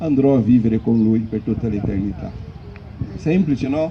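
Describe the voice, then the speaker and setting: A man with a non-native accent and lively intonation, over noticeable background noise. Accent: foreign accent in Italian. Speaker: preacher. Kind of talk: sermon. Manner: halting.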